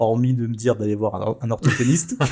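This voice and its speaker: A man with a dark, mellow tone talks at a moderate pace, his medium-pitched voice somewhat breathy. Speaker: podcast host and photographer. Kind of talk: casual interview chat.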